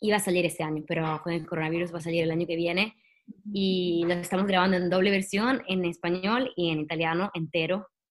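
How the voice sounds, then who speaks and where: Her pace is fairly quick. This woman's voice sits fairly low, with fairly even intonation. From Italy. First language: Italian (speaking Spanish). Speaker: singer-songwriter and actress. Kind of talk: interview. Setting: video call.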